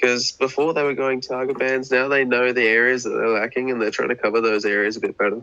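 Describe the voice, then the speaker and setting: In an Australian accent, a man talks at a medium pitch with a bright, sharp tone. His intonation stays fairly even. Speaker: esports caster. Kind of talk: live commentary.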